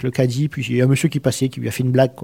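Monotone, flat speech from a medium-pitched man with a Provençal accent, in a dry, close sound with no echo. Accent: southeastern French (Provence). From southern France, Arles (Provence). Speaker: immigrant to Canada. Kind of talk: radio interview. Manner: halting, repeats words.

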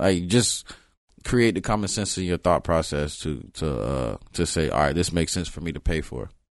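In a quiet background, a man with an American accent speaks at a moderate pace with a very deep, low pitch, lively intonation and vocal fry. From South Florida (Broward County), early years in Los Angeles. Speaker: rapper. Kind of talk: interview.

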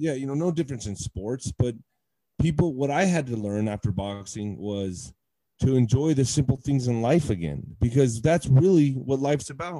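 A man with an American accent at a medium pitch, with a dark, mellow tone and a moderate pace. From Texas, El Paso. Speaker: retired heavyweight boxer. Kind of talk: personal testimony in interview.

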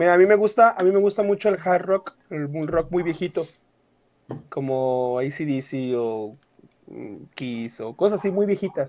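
Speaking at a fairly slow pace, a man leaves long, frequent pauses. He has a high pitch and lively intonation. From Mexico, Querétaro. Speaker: podcaster, guest. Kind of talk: casual chat.

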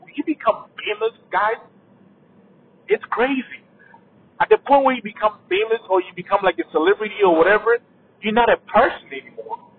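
A man with an African accent, high pitch, lively intonation and a fairly quick pace. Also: long, frequent pauses, big swings in loudness. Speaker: podcaster. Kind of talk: casual solo monologue, unscripted. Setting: in a car while driving. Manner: casual, conversational.

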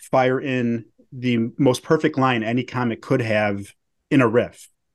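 This is an ordinary speaking voice. The pace is fairly slow. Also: man. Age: 30s. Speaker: podcast host and journalist. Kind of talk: casual chat.

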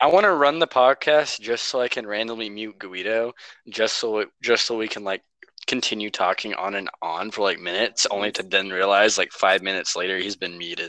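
A man with a normal speaking voice talks at a fairly low pitch with ordinary pitch variation, in a dry, close sound with no echo. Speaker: podcast co-host. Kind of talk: casual banter. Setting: phone call.

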